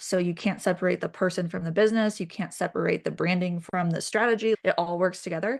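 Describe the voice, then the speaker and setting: A woman with an unremarkable speaking voice talks at a medium pitch with fairly even intonation, in a dry, close sound with no echo against a quiet background. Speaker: brand strategist. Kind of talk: casual chat.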